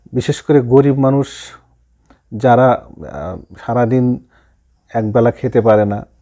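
A man's dark, mellow, monotone voice with flat intonation against a quiet background. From Bangladesh, Rangpur district; Bangladesh. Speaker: police officer; interviewee. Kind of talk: interview. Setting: studio. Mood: earnest, concerned. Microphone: lapel.

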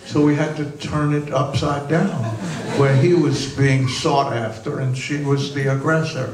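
A man with an American accent speaks at a fairly slow pace and a fairly high pitch. His intonation is monotone and flat, with noticeable background noise behind him. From United States. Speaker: film director. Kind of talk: interview answer. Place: stage. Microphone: handheld.

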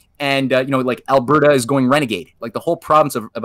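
A man's medium-pitched voice with a bright, sharp tone, dry sound with no echo, and a quiet background. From Canada. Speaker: history researcher guest; guest. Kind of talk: interview, historical explanation. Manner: halting with many repeated words. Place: home room.

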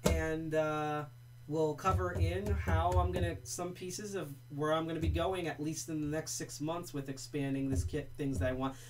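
Over noticeable background noise, a man talks at a moderate pace in a fairly high pitch, his voice making very wide pitch swings. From New Jersey, US. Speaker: livestream host, lockpicking hobbyist. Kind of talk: casual livestream presentation. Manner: casual, rambling, jokey.

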